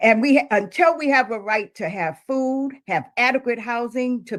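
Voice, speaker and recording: A woman with an ordinary speaking voice, fairly high-pitched, at a fairly slow pace with ordinary pitch variation. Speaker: homeless-rights organizer and minister. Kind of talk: spoken word call to action, rally speech. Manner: forceful, urgent, rallying.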